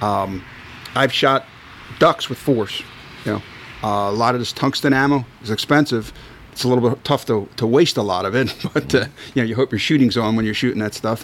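Amid noticeable background noise, a man with a Philadelphia accent talks at a fairly quick pace and a medium pitch, with long, frequent pauses. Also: ordinary pitch variation. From Philadelphia, South Philly. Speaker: sporting clays shooter. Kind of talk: casual chat.

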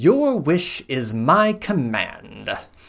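A man puts on a growling character voice at a fairly high pitch. His pitch swings very widely.

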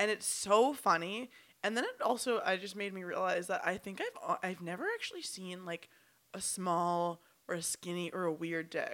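At a moderate pace, a woman speaks in a plain, everyday voice with medium pitch and ordinary pitch variation. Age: 20s. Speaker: podcast co-host. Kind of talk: casual chat.

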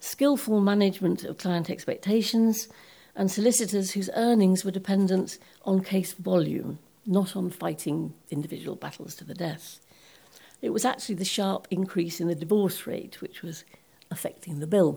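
A woman speaks at a medium pitch, somewhat breathy. Her pitch varies in an ordinary way. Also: moderate pace. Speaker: legal policy researcher. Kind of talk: lecture.

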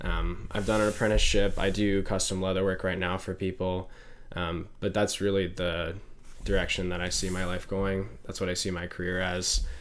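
Audible room echo surrounds a man whose very deep, low voice stays monotone and flat. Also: moderate pace. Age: 20s. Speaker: podcast host and college student. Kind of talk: casual chat.

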